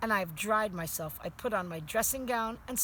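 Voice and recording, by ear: A text read aloud in a natural voice.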